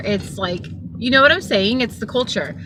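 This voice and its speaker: Over noticeable background noise, a woman with a Southern California accent speaks with ordinary pitch variation. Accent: valley girl speech with many 'like' fillers. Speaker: Uber driver. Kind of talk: casual talk to camera. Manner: rambling, chatty.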